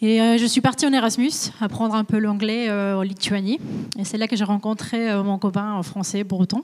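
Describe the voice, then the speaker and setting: A woman's fairly high voice with fairly even intonation at a moderate pace. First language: Spanish (speaking French). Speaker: supply chain manager. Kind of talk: career interview on webinar. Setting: company visit, webinar. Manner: hesitant, many fillers.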